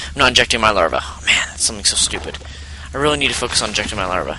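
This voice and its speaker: Noticeable background noise is present. Over it, a man speaks very fast. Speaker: gaming commentator. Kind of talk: game replay commentary. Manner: loud.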